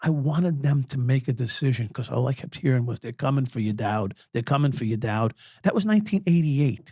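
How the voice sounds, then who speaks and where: A man speaks with a New York accent at a fairly quick pace, his pitch medium. His intonation is lively and his voice somewhat breathy. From New York City (Brooklyn). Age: 60s. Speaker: former police officer. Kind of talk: interview.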